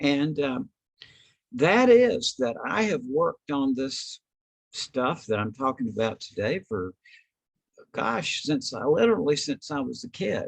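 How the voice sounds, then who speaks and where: Long, frequent pauses break up a man's fairly slow speech, his fairly high pitch moving in very wide swings, in a dry, close sound with no echo. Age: 70s. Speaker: author and consciousness researcher. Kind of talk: lecture. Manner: hesitant, with many fillers.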